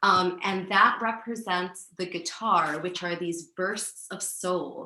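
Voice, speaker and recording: A woman speaks at medium pitch with fairly even intonation. Her pace is very slow. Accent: Spanish. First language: Spanish. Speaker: composer. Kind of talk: interview.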